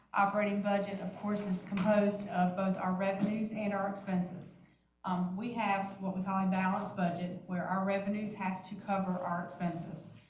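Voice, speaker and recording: A woman speaks at a medium pitch in a monotone, flat intonation, with audible room echo. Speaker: finance staff presenting budget. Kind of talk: budget presentation at board meeting. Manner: fast.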